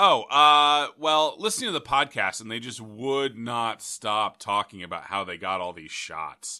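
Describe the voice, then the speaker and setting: A man with an American accent speaks at a fairly slow pace in a bright, sharp tone at a medium pitch, his voice swinging very widely, on a very clean recording with a silent background. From Indiana. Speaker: podcast host. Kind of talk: casual chat.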